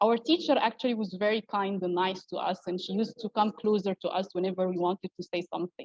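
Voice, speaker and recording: A woman talks in an Arabic accent with a medium pitch and fairly even intonation. Her moderate pace comes through in a dry, close sound with no echo. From Egypt. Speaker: academic researcher. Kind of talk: conference talk. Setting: online event. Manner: hesitant, many fillers.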